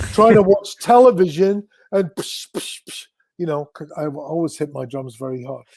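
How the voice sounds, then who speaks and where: A man with a high pitch speaks at a moderate pace, his intonation lively and his loudness swinging widely. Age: 60s. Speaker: drummer and music industry figure. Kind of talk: interview.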